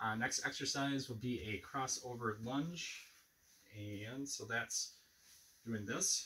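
The pace of this man is very slow. His intonation rises and falls in an ordinary way. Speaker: fitness instructor. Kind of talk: tutorial. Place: home room. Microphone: camera far.

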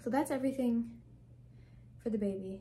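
Over light background noise comes a somewhat breathy voice with a dark, mellow tone. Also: woman. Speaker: family vlogger. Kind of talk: casual vlog tutorial. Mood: calm, friendly. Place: home room. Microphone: phone near.

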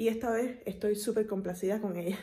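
A woman at a moderate pace, somewhat breathy, with monotone, flat intonation. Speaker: vlogger. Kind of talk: casual vlog chat. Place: home room. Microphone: phone near.

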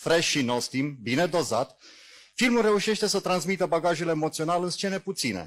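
Speaking at a moderate pace, a man talks in a high-pitched voice. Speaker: jury member, science fiction writer and magazine editor. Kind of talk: reading a prepared jury statement aloud. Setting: festival awards ceremony. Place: stage.

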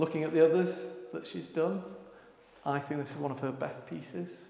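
A man speaks in a room with audible echo. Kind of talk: casual vlog chat. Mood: proud, enthusiastic. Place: hall. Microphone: lapel.

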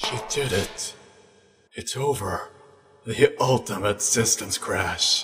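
Using a put-on character voice, a man speaks raspy and at medium pitch, at a very slow pace with long, frequent pauses. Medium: dub.

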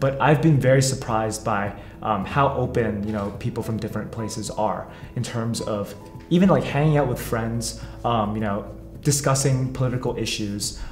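With audible room echo and faint music behind him, a man speaks at a moderate pace, medium in pitch, with ordinary pitch variation. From Hong Kong. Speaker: graduate student. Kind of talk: interview answer.

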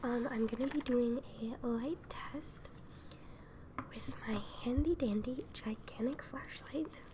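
Very slowly and softly, a woman with a high pitch speaks against noticeable background noise. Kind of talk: soft-spoken roleplay addressing viewer. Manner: soft, hushed ASMR speaking voice. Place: home room. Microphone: earbuds.

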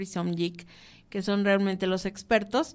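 A woman speaks at a fairly slow pace in a monotone, flat intonation. The recording is very clean, with a silent background. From Mexico. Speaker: cooking show host. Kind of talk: radio show hosting. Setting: radio booth.

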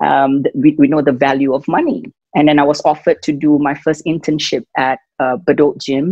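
At a moderate pace, a woman speaks in a very deep, low voice with ordinary pitch variation, the sound dry with no echo and the background quiet. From Singapore. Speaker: fitness and wellness entrepreneur. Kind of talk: interview answer. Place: home room. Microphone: video call.

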